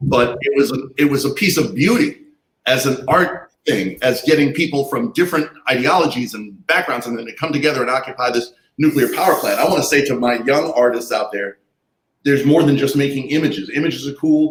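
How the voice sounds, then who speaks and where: The man has an unremarkable speaking voice with a fairly high pitch. He talks at a fairly quick pace with ordinary pitch variation. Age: 60s. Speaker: artist and activist. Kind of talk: panel discussion.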